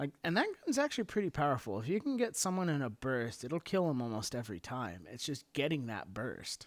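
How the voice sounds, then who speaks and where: A man's fairly high voice with very wide pitch swings and hardly any pauses, on a very clean recording with a silent background. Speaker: gaming YouTuber. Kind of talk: gameplay commentary. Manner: halting, self-described stuttering and mumbling; unscripted casual.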